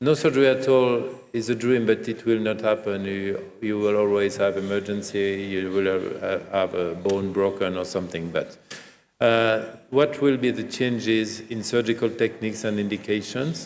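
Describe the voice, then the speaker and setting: A man with a French accent speaks at a moderate pace in a fairly low voice with ordinary pitch variation. Audible room echo fills the recording. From France. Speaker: gynecologist and professor. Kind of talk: keynote lecture. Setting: conference stage with audience.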